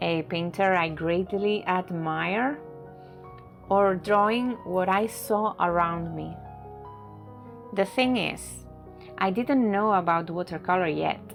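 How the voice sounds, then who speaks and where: Music plays behind a woman with a Spanish accent who speaks at a very slow pace with long, frequent pauses, her medium pitch showing ordinary variation. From Barcelona, Spain. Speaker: watercolor artist. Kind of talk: reflective narration over painting video.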